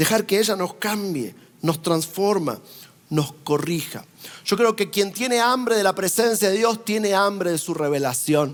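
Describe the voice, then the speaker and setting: His pitch swings very widely as a man talks at a fairly slow speed. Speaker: traveling preacher. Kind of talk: sermon.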